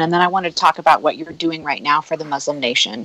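A woman with an American accent talks at a very fast pace. The sound is dry and close with no echo, and noticeable background noise comes through. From Nebraska, US Midwest. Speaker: podcast host. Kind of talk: casual chat.

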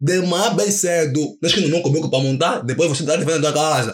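Delivered at a very fast pace, the speech shows ordinary pitch variation. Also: man. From Angola, Viana (Luanda). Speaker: paper model artist. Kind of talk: casual chat.

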